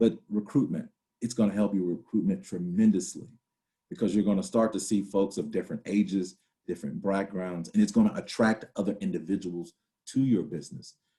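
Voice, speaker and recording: Dark, mellow tone at a fairly quick pace, with ordinary pitch variation. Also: man. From US South, Virginia/North Carolina (Danville area). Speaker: workshop facilitator and mayor. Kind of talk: workshop presentation. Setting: video call. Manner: conversational, many fillers.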